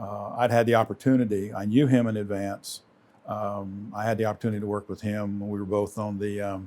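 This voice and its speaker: A man with a Lowcountry accent speaks at a fairly low pitch in a dark, mellow tone. His intonation is monotone and flat. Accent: Southern US (Lowcountry). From US South, Charleston, South Carolina. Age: 60s. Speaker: retiring credit union CEO. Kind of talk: interview.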